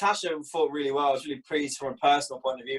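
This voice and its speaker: Pitched in the medium range, a man speaks at a very fast pace. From Scotland. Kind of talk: interview.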